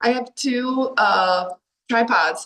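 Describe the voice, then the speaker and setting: The speaker has an animated tone and talks in an American accent. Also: woman. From Delaware, US. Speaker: life coach. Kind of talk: online workshop talk. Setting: video call from a hallway while traveling. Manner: loud.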